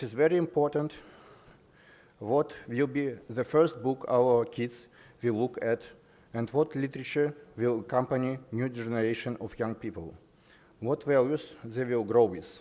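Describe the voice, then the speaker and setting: At a moderate pace with long, frequent pauses, a man speaks at medium pitch in a dark, mellow tone with ordinary pitch variation. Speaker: publishing representative. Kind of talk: conference speech. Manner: formal.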